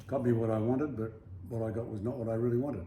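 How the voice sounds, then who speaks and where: Very fast and with an Australian accent, a man speaks at a medium pitch amid noticeable background noise and audible room echo. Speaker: travel vlogger. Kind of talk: casual chat. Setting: apartment.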